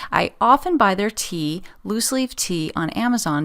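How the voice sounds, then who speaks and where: With a relaxed tone, a woman speaks at a medium pitch that moves in very wide swings. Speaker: podcast host. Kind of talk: casual chat. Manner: chatty, relaxed; hesitant, many fillers.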